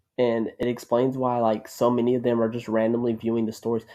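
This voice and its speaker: Over a quiet background, a man with a dark, mellow tone speaks at medium pitch and a moderate pace. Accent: American. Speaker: YouTuber, commentary. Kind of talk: unscripted commentary rant. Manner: halting, stuttering.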